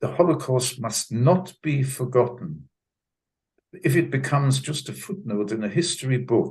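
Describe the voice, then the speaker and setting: A man's voice with vocal fry and lively intonation. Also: medium pitch for a man, moderate pace. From Germany. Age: 90s. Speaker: Holocaust survivor. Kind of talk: testimony. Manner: halting, repeats words.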